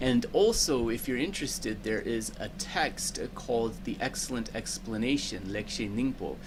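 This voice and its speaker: A soft-spoken man at medium pitch, lively intonation and a moderate pace, with audible room echo. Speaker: dharma teacher and translator. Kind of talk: teaching commentary. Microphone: microphone setting makes voice quiet.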